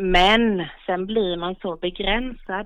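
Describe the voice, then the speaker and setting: A woman speaks at medium pitch. Her pace is very slow. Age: 40s. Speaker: goat farmer. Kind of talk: interview. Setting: phone call.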